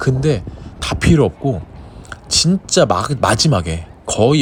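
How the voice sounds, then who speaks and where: This man's pitch swings very widely. Background noise is noticeable. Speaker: vlogger and gym owner. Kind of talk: casual vlog talk to camera. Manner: stumbling.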